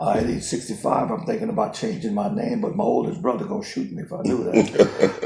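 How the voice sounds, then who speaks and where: Against noticeable background noise, a man rushes along at a very fast pace with hardly any pauses. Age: 60s. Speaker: businessman. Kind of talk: interview.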